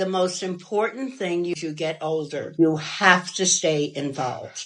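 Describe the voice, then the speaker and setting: Noticeable background noise accompanies a woman's fairly low voice with ordinary pitch variation. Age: 80s. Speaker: elderly woman giving advice. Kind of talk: reflective talk.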